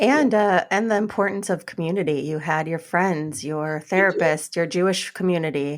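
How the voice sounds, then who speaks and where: A woman with a normal speaking voice, fairly low in pitch, at a moderate pace with ordinary pitch variation and hardly any pauses. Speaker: podcast co-host, couples therapist. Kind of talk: casual podcast conversation.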